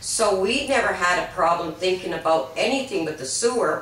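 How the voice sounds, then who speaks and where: Speech at a moderate pace carries audible room echo along with noticeable background noise. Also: woman. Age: 60s. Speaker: mobile home park resident. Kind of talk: interview.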